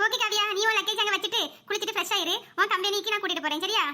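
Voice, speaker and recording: A woman speaks in a squeaky, cartoonish character voice, extremely high-pitched, very fast, with fairly even intonation. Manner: warm, brisk.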